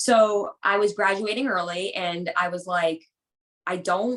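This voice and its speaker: With an American accent, a woman speaks at a medium pitch with fairly even intonation. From Boston area, US. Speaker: personal trainer. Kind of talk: casual chat.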